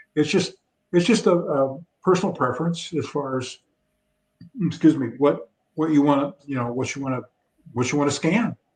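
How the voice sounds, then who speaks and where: Somewhat breathy speech at a moderate pace, with long, frequent pauses and ordinary pitch variation. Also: man, fairly high pitch for a man. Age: 70s. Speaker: drag racing photographer. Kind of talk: interview. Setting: live video chat.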